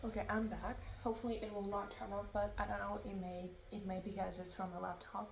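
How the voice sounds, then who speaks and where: Noticeable background noise and audible room echo are present. Through them, a woman talks at a moderate pace. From Ukraine. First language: Russian. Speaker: book blogger. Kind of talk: casual vlog talk. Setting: recorded on laptop at home. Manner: halting. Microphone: laptop recording.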